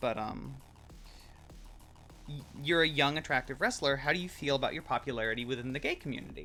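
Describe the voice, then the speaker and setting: A man speaks at a fairly high pitch with music in the background. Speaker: streamer. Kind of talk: casual chat. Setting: live stream.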